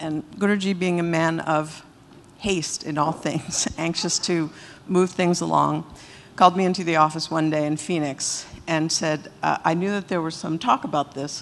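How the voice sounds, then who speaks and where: A woman's ordinary speaking voice, fairly low in pitch, with fairly even intonation and a moderate pace. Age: 60s. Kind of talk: testimonial talk to audience.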